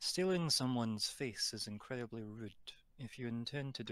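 Lively intonation in an unforced reading voice

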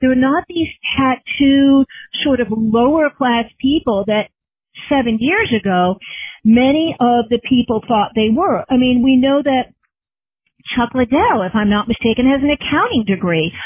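A woman speaks at a fairly slow pace in a high, energetic voice. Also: lively intonation, very even loudness. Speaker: journalist. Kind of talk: interview. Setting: phone call.

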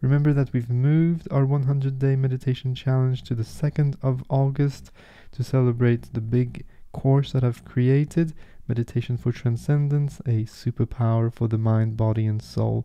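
With a quiet background, a man speaks at a moderate pace with fairly even intonation. His loudness stays very even. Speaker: meditation guide. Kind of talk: guided meditation. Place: home room.

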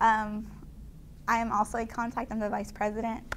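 Light background noise sits beneath a woman's speech. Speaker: student organization leader; guest. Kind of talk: interview. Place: studio. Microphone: lapel.

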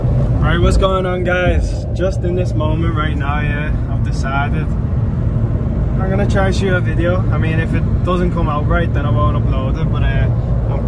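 A man's rather unhurried speech under heavy background noise. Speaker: travel vlogger. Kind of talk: casual vlog chat. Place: car. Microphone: phone near.

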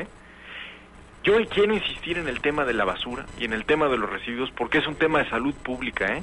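A man talks with light background noise behind him. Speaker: radio guest or co-host. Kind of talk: radio panel discussion. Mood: critical, argumentative. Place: studio. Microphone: studio mic.

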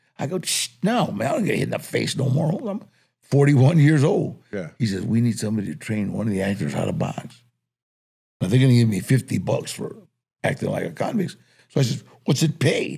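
A man's dark, mellow voice with vocal fry and very wide pitch swings, fairly quick in pace, over a quiet background. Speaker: interview guest. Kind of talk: interview answer, storytelling. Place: studio. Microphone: studio mic.

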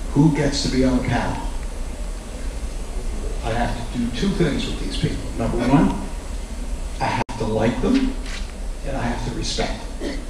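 With long, frequent pauses, a man speaks amid noticeable background noise and audible room echo. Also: moderate pace. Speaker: host introducing panel. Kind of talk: introductory remarks to audience. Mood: warm, lightly humorous. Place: hall.

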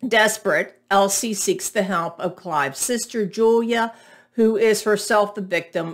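Fairly slow speech from a woman against a quiet background. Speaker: book reviewer. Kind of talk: reading a book synopsis. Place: home room. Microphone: webcam.

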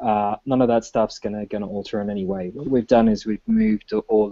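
A man has an unremarkable speaking voice, fairly low in pitch, with ordinary pitch variation. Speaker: software engineer. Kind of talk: technical discussion.

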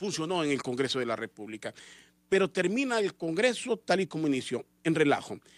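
Against a quiet background, a man with a fairly high pitch talks at a fairly quick pace, the sound dry with no echo. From Honduras. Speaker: radio host. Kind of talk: radio political commentary. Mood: critical political commentary. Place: studio. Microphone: studio mic.

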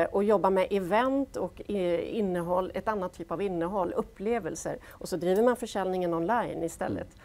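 The speech goes at a moderate pace. Pitch variation is ordinary. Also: woman. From Gothenburg, western Sweden; Sweden. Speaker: business executive; guest. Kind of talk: panel discussion. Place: studio.

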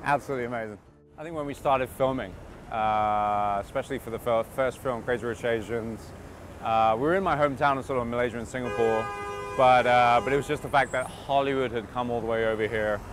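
Over music in the background, a man talks at a very fast pace with fairly even intonation. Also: dry sound with no echo. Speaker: actor being interviewed. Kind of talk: interview answer. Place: street.

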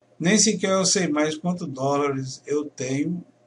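A man speaks in a somewhat breathy voice over light background noise. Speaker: home studio YouTuber teaching audio lessons. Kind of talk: casual vlog announcement to viewers. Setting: home studio. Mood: worried, disappointed. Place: home room.

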